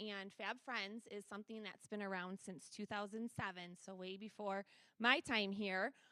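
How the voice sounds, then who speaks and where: Loud and bright with a sharp tone, a woman speaks at a fairly high pitch and a fairly slow pace, captured dry and close without echo. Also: very clean recording, silent background. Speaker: school special education director. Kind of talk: presentation at a school board meeting. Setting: board meeting room with microphone.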